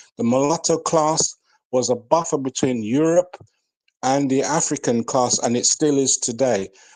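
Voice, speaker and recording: A man with a British accent talks at a moderate pace and a fairly high pitch, with ordinary pitch variation. His loudness is very even, and the background is quiet. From Jamaica. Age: 60s. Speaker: elder in online debate. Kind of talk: heated debate.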